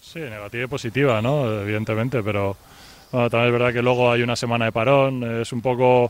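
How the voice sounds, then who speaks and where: A man talks at a very fast pace with a medium pitch. His intonation is monotone and flat. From Valencia, Spain. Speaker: professional basketball player. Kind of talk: radio interview.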